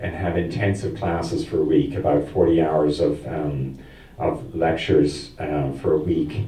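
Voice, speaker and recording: There's audible room echo around this man, who talks at a fairly slow pace. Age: 60s. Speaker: seminary student. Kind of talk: adult education conversation. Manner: halting.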